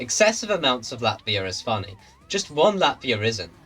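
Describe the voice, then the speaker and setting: Against noticeable background noise, a man with a British accent speaks with very wide pitch swings. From Britain. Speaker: streamer. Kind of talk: casual chat. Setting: live stream with voice chat.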